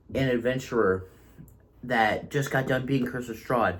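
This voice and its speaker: A man's somewhat breathy voice of medium pitch, at a fairly slow pace with ordinary pitch variation. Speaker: tabletop game master and reviewer. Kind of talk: casual review monologue. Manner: occasional stuttering.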